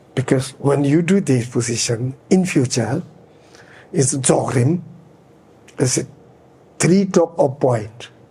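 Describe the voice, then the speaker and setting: Very slow, fairly high male speech with very even loudness, long, frequent pauses and noticeable background noise. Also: ordinary pitch variation. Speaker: Buddhist teacher. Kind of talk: dharma teaching. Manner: halting, searching for words.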